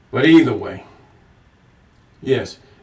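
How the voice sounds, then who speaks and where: A man speaks over noticeable background noise. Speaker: bible teacher. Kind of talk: scripture reading with commentary. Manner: casual, conversational.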